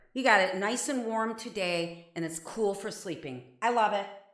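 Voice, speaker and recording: In a Midwestern accent, a woman speaks at a moderate pace with a fairly high pitch and vocal fry, and audible room echo surrounds her voice. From Ohio, Avon Lake. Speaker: singer-songwriter. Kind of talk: casual live-stream chat. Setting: live stream from home bathroom. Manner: halting, many fillers.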